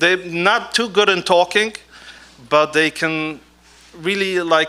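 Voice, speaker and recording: The voice has a bright, sharp tone, ordinary pitch variation and a non-native accent. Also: man. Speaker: artist and scribe. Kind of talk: stage talk. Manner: halting.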